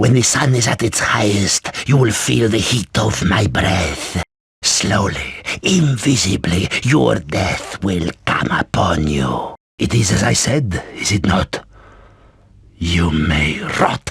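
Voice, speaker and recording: A man puts on a raspy character voice at a fairly low pitch. He delivers it at a fairly slow pace. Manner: menacing, whispering.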